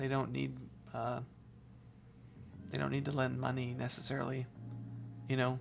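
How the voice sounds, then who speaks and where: The speech moves at a fairly quick pace. Vocal fry runs through the voice. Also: woman. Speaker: real estate livestreamer. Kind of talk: casual livestream chat. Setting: live stream. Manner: animated, playful.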